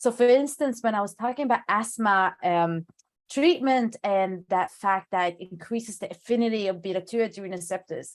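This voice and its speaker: Speaking fairly quickly with a non-native accent, a woman uses a medium pitch with ordinary pitch variation. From Sweden. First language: not English. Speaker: pharmacologist. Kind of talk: lecture Q&A.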